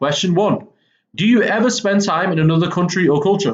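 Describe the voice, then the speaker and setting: A man speaks in a Mancunian accent. His pitch is high and his pace moderate. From northern England, Manchester. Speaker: English teacher. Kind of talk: lecture. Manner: casual, frequent 'okay' fillers.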